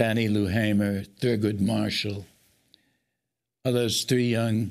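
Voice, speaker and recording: At a very slow pace with long, frequent pauses, a man speaks at a fairly low pitch with a monotone, flat intonation and very even loudness. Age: 80s+. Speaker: education writer and activist. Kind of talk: broadcast interview.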